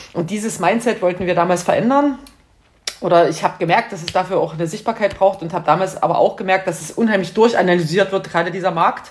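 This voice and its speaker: A woman rattles along at a very fast pace amid noticeable background noise. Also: medium pitch for a woman, ordinary pitch variation. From Saxony, Bautzen. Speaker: creative industry consultant. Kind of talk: casual interview.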